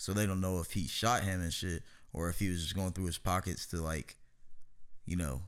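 This man has a very deep, low pitch and an animated tone. He speaks at a fairly quick pace. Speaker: podcast host. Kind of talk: casual chat. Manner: animated, profane.

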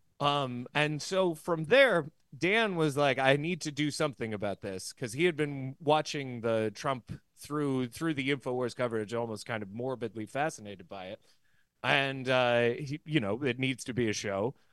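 With a plain, everyday voice, a man talks at a moderate pace and medium pitch, using ordinary pitch variation over a quiet background. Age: 30s. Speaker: podcast co-host and former stand-up comic. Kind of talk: casual chat.

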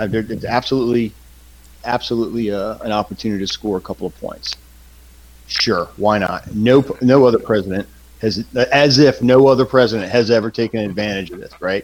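A man with a normal speaking voice at medium pitch, fairly quick in pace, with fairly even intonation and big swings in loudness. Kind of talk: casual banter with swearing.

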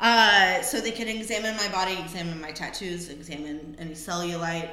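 A woman speaks at a fairly quick pace with ordinary pitch variation. Noticeable background noise is heard. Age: 30s. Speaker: podcast co-host, former stripper and bartender. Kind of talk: casual chat.

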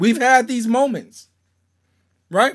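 An extremely high-pitched man at a fairly quick pace, animated in tone, in a very clean recording over a silent background. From Louisiana (Shreveport), US South. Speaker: pastor. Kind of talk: sermon.

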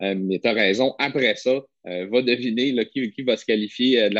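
A man talks with fairly even intonation. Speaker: podcast co-host. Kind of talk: casual chat.

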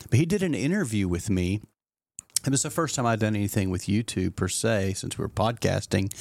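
A man with a fairly low pitch talks at a fairly quick pace in an unremarkable speaking voice, captured in a very clean recording with a silent background. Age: 60s. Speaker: pastor and podcast host. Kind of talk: casual chat. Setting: studio.

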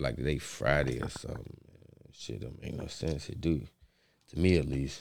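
A man with a very deep, low pitch and vocal fry talks at a moderate pace with ordinary pitch variation and big swings in loudness. Audible room echo surrounds his voice. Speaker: podcast host. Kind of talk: casual chat.

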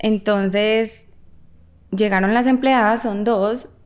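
Her pitch sits in the medium range for a woman. She speaks with a Medellín Colombian accent and fairly even intonation. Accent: Colombian paisa (Medellín). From Colombia, Medellín. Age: 30s. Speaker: actress and model. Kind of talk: casual chat.

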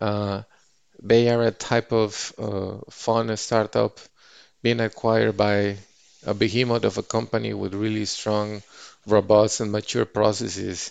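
Over a quiet background, a man with a Spanish accent talks in a flat monotone at a fairly low pitch and a fairly slow pace. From Mexico. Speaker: finance executive. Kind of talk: podcast interview.

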